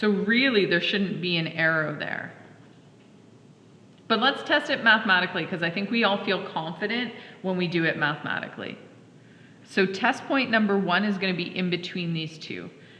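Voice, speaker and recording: A woman at a medium pitch and moderate pace, with ordinary pitch variation, long, frequent pauses and audible room echo. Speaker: high school math teacher. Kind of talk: classroom lecture.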